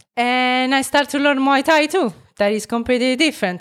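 Her voice carries an Italian accent, and she is a woman speaking at a moderate pace. The pitch varies in an ordinary way on a very clean recording with a silent background. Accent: Italian accent, non-native English. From Italy. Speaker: gym owner and fitness trainer. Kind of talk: casual interview chat.

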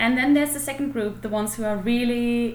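In a room with audible echo, a woman talks with a German accent. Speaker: German speaker and teacher. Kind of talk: interview. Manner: hesitant with fillers.

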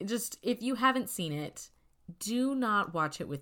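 On a very clean recording with a silent background, a woman with a fairly high pitch and a bright, sharp, animated tone speaks at a fairly slow pace with lively intonation. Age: 20s. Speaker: podcast host. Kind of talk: casual chat. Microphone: new microphone.

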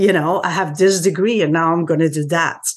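A woman with a Dutch accent speaks at a fairly low pitch. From Netherlands. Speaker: life coach and physical therapist. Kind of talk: interview.

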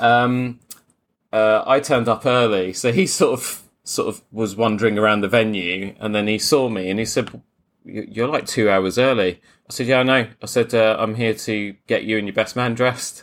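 A man with a South London accent speaks at a medium pitch and a moderate pace, with fairly even intonation. The recording is very clean, with a silent background. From Croydon, south London, England. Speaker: podcast host, tailor. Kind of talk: casual interview chat.

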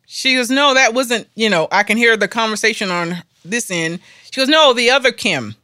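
A bright, sharp tone with an American accent, lively intonation and a moderate pace on a very clean recording with a silent background. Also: woman, fairly high pitch for a woman. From US South, Florida. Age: 50s. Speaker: radio broadcaster. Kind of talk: testimony. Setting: studio.

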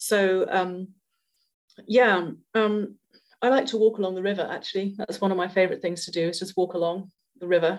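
At a fairly quick pace, a woman with a medium pitch talks in a fairly even intonation, broken by long, frequent pauses. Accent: London. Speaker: EFT practitioner. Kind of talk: casual interview chat.

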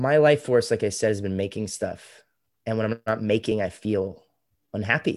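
Here is a normal speaking voice from a man with an American accent, fairly low in pitch, at a moderate pace. The recording is very clean with a silent background. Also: ordinary pitch variation. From Austin, Texas. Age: 30s. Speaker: comedian and comedy club owner. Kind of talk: interview.

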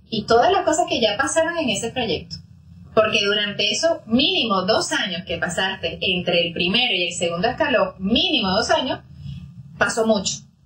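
Over noticeable background noise, a woman with fairly high pitch talks at a moderate pace, her pitch swinging very widely. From Venezuela. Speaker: psychologist. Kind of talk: interview.

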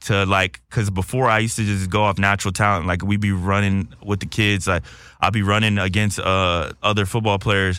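A man with an American accent, fairly low in pitch, bright and sharp in tone, fairly even in intonation, at a moderate pace on a very clean recording with a silent background. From Texas. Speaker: podcast guest, former athlete. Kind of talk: casual chat. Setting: studio.

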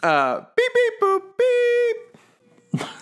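This is a put-on character voice. It is squeaky and extremely high in pitch. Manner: playful.

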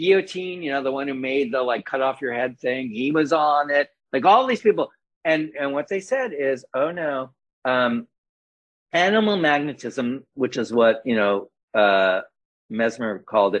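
A man speaks at a moderate pace with lively intonation and a fairly high pitch, in an ordinary speaking voice. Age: 60s. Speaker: professor and author. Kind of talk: interview conversation.

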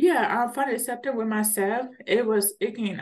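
A woman with a Liberian accent, fairly high in pitch, with ordinary pitch variation. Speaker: author and public speaker. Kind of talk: podcast interview. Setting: video call.

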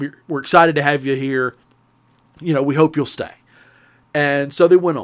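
Pausing long and often, a man speaks at a moderate pace and a fairly high pitch. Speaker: podcast co-host. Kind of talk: casual chat. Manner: animated, joking.

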